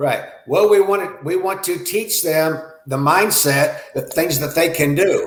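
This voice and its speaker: A man's high voice with ordinary pitch variation, at a fairly slow pace, with audible room echo. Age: 60s. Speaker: self-defense instructor. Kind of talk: interview.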